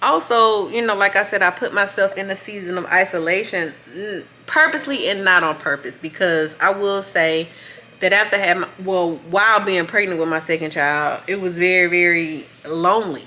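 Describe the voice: Speaking at a moderate pace, a woman uses a fairly low pitch with a bright, sharp tone and ordinary pitch variation.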